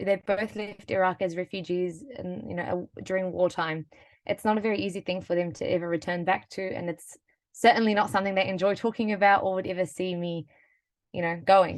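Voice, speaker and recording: Someone with a New Zealand accent talks at a fairly quick pace. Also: woman, medium pitch for a woman. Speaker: webinar panelist. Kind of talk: personal story. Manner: animated.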